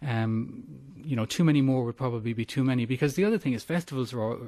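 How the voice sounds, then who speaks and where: With an Irish accent and a dark, mellow tone, a man speaks at a very fast pace with ordinary pitch variation over a quiet background. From Ireland, Cork. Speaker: urban planning academic. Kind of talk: radio interview. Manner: halting, repeats words.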